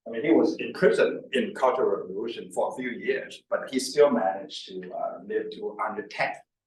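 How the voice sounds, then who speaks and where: A man at a fairly quick pace with hardly any pauses, amid audible room echo. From China. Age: 50s. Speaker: company executive, longevity scientist. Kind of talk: presentation. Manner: repetitive fillers, restarts.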